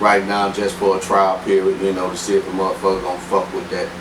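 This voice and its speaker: With audible room echo and noticeable background noise, a man talks at a fairly quick pace. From Shreveport, Louisiana. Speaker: rapper. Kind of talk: casual interview.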